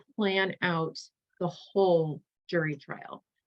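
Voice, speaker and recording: This woman has a fairly low pitch, ordinary pitch variation, and a normal speaking voice. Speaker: litigation paralegal. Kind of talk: presentation to students.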